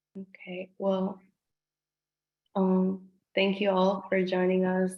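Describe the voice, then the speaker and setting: Speaking at a moderate pace, a woman with a Spanish accent talks at a medium pitch. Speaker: town hall moderator. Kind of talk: closing remarks at zoom town hall. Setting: video call.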